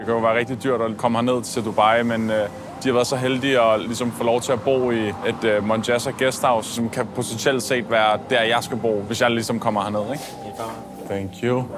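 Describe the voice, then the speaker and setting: A man speaks at a medium pitch and moderate pace in a monotone, flat intonation. There is noticeable background noise and audible room echo. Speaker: oil and shipping trainee. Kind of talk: vlog.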